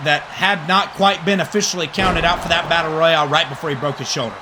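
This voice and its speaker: A man speaks in a raised, projected voice. Noticeable background noise is present. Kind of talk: wrestling play-by-play commentary. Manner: conversational, rambling.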